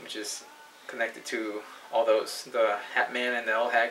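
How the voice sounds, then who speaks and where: A man keeps a moderate pace as noticeable background noise carries on around him. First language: not English. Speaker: paranormal video blogger. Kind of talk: personal testimony monologue. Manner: halting, many repetitions and false starts.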